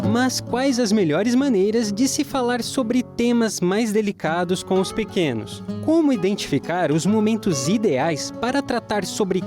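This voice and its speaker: A man speaks at a high pitch with very wide pitch swings and music in the background. His pace is fairly slow, with hardly any pauses. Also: very even loudness. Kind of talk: TV program intro voiceover, presenter-style reading.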